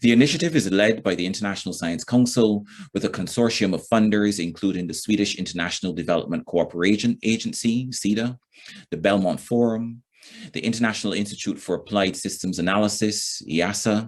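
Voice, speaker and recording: This man speaks fairly quickly in a fairly low pitch, with a Barbadian accent. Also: ordinary pitch variation. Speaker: event moderator. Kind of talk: formal event opening speech. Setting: recorded online session. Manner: formal.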